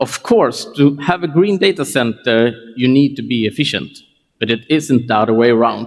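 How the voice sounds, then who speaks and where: This man talks at a fairly slow pace with ordinary pitch variation. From Scandinavia (Sweden/Denmark). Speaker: tech company CEO. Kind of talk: conference keynote.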